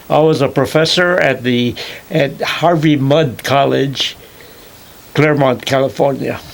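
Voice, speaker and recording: Over noticeable background noise, a man speaks fairly slowly at a fairly high pitch, his intonation fairly even and his loudness very even. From Hawaii (Kauai, plantation). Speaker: retired chemistry professor. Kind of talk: oral history interview. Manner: halting, many fillers.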